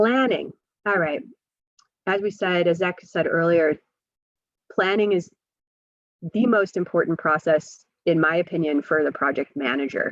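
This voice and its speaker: This woman puts on a hoarse character voice with a fairly low pitch. She talks at a moderate pace, her loudness very even. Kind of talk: instructional lecture.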